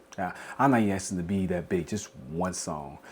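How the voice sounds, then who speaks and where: This man has a strong Southern US accent and a fairly low pitch. He talks at a moderate pace with ordinary pitch variation. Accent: strong Southern rural. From South Carolina. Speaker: podcast host. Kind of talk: casual podcast monologue. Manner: rambling with repetitions.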